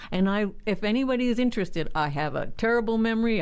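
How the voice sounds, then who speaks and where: Audible room echo colors this voice. A woman speaks very fast. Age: 60s. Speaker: community leader. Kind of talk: interview.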